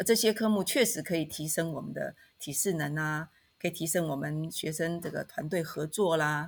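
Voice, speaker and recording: A woman with an unremarkable speaking voice talks at a moderate pace with a fairly low pitch and ordinary pitch variation, in a very clean recording with a silent background. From Taiwan, Taitung. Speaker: university professor. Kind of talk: podcast interview.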